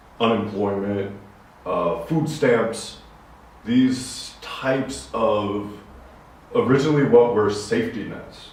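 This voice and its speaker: With noticeable background noise and audible room echo, a man with an American accent speaks at a very slow pace and a medium pitch, leaving long, frequent pauses, with ordinary pitch variation. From USA. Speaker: podcast co-host. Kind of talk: casual discussion.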